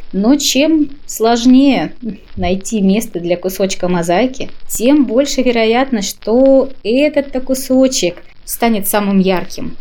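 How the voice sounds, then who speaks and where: At a very slow pace, a woman speaks at a fairly high pitch in a dark, mellow tone, with lively intonation and very even loudness. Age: 30s. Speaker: podcast contributor sharing views on happiness. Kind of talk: personal reflective monologue.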